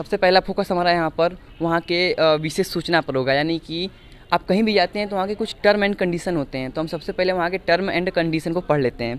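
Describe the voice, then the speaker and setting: High-pitched male speech, moderately paced, with ordinary pitch variation. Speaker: reporter. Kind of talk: on-location tour report to camera.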